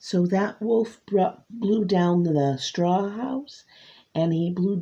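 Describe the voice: The text is given as plain reading aloud. Pitch changes by an ordinary amount.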